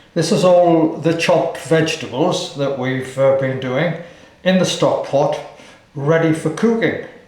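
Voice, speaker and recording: Speaking at a very slow pace, a man with a fairly high pitch and ordinary pitch variation is heard over noticeable background noise and audible room echo. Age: 80s+. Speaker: home cook. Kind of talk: tutorial.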